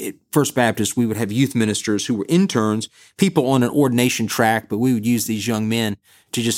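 A man speaks in an Alabama accent at a fairly quick pace. His pitch is fairly low and his intonation fairly even. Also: very clean recording, silent background. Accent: Southern US (Alabama). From US South, Bessemer, Alabama. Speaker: Sunday school teacher and podcast host. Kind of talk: Bible teaching talk.

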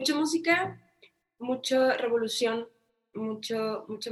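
At a very slow pace, a woman with a northern Mexican accent speaks in a fairly high pitch with ordinary pitch variation. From Mexico, Tijuana. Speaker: singer-songwriter. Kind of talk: interview.

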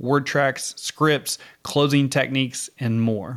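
This man has a fairly high pitch and a Midwestern US accent, with ordinary pitch variation. He talks at a moderate pace on a very clean recording with a silent background. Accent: Missouri Midwestern US. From Missouri, US. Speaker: insurance coach and podcast host. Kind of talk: casual co-hosted podcast chat. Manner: casual, joking, profane.

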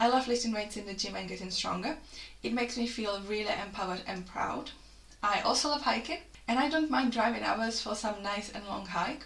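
With a Czech accent, a woman talks at a fairly quick pace in a fairly high pitch with ordinary pitch variation, amid audible room echo and noticeable background noise. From Czech Republic. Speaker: fitness coach. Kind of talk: solo podcast monologue.

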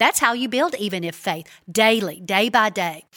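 Her voice is a plain, everyday voice, a woman's, fairly high in pitch with lively intonation. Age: 50s. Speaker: women's ministry leader. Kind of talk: casual chat about faith. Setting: studio.

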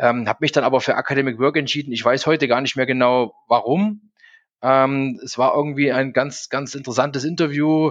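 Against a quiet background, a man with medium pitch and fairly even intonation talks at a moderate pace. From Saxony, Germany (Zwickau). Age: 40s. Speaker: recruitment company executive, former footballer. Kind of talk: interview. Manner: frequent fillers, hesitant.

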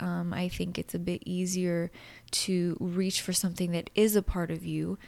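A woman with a plain, everyday voice speaks at medium pitch with fairly even intonation. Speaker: podcast host. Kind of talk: guided meditation; casual chat. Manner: calm, slow, soothing, gentle guiding tone with pauses; soft-spoken, nurturing.

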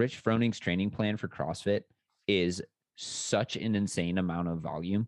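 A man with an unremarkable speaking voice talks fairly slowly at a fairly low pitch, his intonation fairly even and the sound dry and close with no echo. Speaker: podcast co-host and sports science researcher. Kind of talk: casual conversational discussion.

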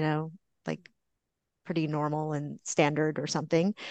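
An ordinary speaking voice: a woman with fairly low pitch at a moderate pace, over a quiet background, in a dry, close sound with no echo. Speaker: therapist. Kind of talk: casual chat.

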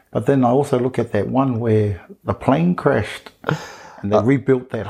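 A man with an Australian accent at a medium pitch, with ordinary pitch variation and a moderate pace. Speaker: podcast co-host, teacher. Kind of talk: casual chat.

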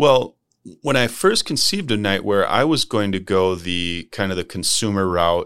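A fairly low-pitched man with an American accent, moderate pace, and ordinary pitch variation, in a very clean recording over a silent background. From Minnesota, St. Paul. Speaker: medical device company CEO. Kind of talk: interview. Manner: passionate.

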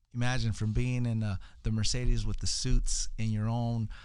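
A man's medium-pitched voice, a normal speaking voice, moves at a moderate pace with fairly even intonation. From California (East LA, Salinas area), Mexican-American family. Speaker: entrepreneur, public speaker. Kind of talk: podcast interview. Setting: studio.

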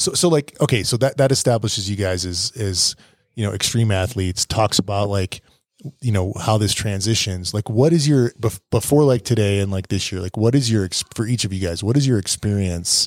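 With an unremarkable speaking voice, a man talks at a fairly quick pace in a fairly low pitch with ordinary pitch variation, recorded very cleanly with a silent background and a dry, close sound with no echo. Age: 40s. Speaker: podcast host, mountain biker, father. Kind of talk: casual chat. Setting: bike park lodging, evening recording.

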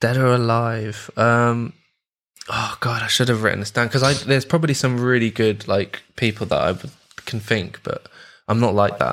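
A man with a London accent talks at a moderate pace in a medium pitch, with fairly even intonation. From London, England. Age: 20s. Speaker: musical composer and audio engineer. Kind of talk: casual chat. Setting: video call.

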